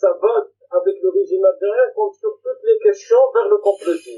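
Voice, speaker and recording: This man speaks. His pace is fairly slow. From Algeria, rural interior. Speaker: debate panelist, Algerian activist. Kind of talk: debate. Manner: halting, many repetitions.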